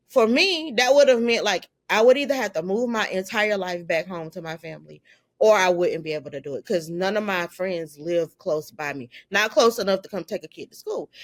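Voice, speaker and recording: A woman with an American accent and a plain, everyday voice, medium in pitch, at a fairly quick pace with lively intonation and big swings in loudness. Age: 50s. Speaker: filmmaker. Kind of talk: interview conversation. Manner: casual, conversational.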